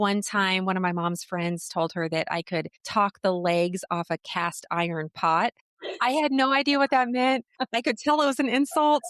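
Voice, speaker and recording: At a moderate pace, a woman speaks in a medium pitch with very wide pitch swings, recorded dry and close with no echo. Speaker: communication coach. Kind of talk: podcast interview.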